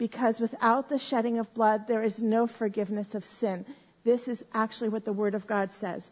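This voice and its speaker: Somewhat breathy and animated, a woman talks at a moderate pace and a fairly high pitch. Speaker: bible teacher. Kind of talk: sermon. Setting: stage with audience.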